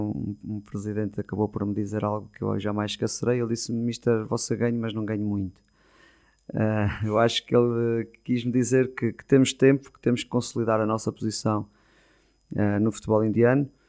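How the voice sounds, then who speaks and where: With a dark, mellow tone, a man talks at a fairly quick pace in a monotone, flat intonation. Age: 40s. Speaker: football coach. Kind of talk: interview. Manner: halting, with repeated words.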